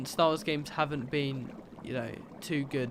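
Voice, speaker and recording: Over noticeable background noise, a man talks fairly quickly with a fairly high pitch. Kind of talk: casual, opinionated about games.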